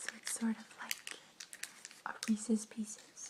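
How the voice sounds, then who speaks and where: Noticeable background noise surrounds the recording. A woman is whispering at a very slow pace. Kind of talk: casual talk to camera, ASMR. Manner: soft-spoken.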